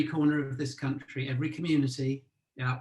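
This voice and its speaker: A man at medium pitch, very fast pace, monotone and flat intonation, music in the background. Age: 60s. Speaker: arts funding executive. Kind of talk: panel discussion.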